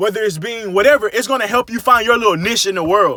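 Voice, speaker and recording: A man's high, raised and projected voice, animated and bright, sharp in tone, with ordinary pitch variation and a dry, close sound with no echo. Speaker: podcaster. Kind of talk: casual monologue. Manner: fast.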